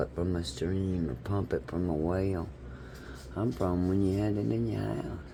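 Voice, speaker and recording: In a Southern US accent, a man speaks at a very deep, low pitch. His tone is dark and mellow. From south Mississippi. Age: 60s. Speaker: vlogger. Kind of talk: casual monologue vlog. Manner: animated.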